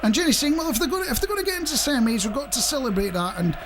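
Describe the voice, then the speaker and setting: Speaking with a Scottish accent, a man's extremely high pitch makes very wide swings, with noticeable background noise and audible room echo. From Scotland. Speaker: radio host. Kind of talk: casual radio chat.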